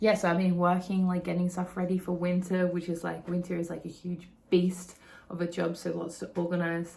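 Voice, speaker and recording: This woman has an Australian accent and a fairly low pitch. She speaks at a moderate pace in an animated tone. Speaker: vlogger. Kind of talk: casual vlog recap. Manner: animated, filler-heavy.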